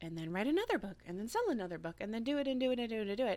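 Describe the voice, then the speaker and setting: A woman with an American accent. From United States. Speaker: podcast host and writer. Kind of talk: casual monologue rant. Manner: halting.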